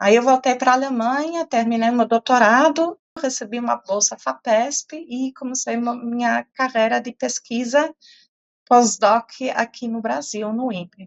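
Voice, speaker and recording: The speaker has a slight non-native accent and talks at a fairly slow pace. Pitch variation is ordinary. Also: woman, high pitch for a woman. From Portugal (German family). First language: German (speaking Portuguese). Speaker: professor. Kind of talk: interview. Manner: hesitant, many fillers.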